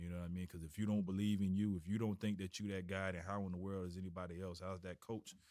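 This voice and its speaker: In a Florida accent, a man speaks very fast with hardly any pauses. His very deep, low voice stays monotone and flat. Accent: US Southern, Florida. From Florida, Tallahassee. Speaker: high school football coach. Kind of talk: casual interview. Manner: halting, many repetitions and fillers.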